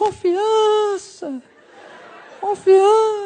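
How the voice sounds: A put-on character voice pitched extremely high. It sounds squeaky.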